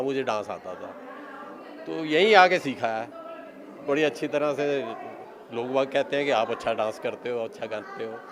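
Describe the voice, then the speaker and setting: A man's fairly high-pitched voice with ordinary pitch variation, over noticeable background noise. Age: 80s+. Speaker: retired senior club member. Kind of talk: interview.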